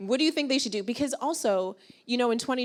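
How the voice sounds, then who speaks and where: A woman with an animated tone and lively intonation. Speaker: panel moderator. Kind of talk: live panel interview. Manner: loud.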